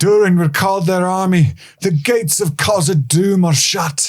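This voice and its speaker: A man uses a put-on character voice at a high pitch. He delivers it at a moderate pace. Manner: gruff.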